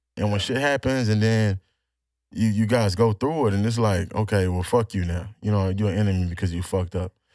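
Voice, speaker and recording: A man speaks in a normal speaking voice, pitched fairly low, with ordinary pitch variation and a fairly quick pace. The recording is very clean against a silent background. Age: 20s. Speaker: podcast co-host. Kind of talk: casual chat.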